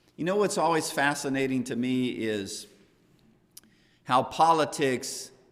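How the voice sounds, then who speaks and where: A man speaks at a medium pitch with ordinary pitch variation, and audible room echo can be heard. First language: not English. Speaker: Bible class teacher. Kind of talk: Bible class lecture. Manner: conversational, with self-corrections.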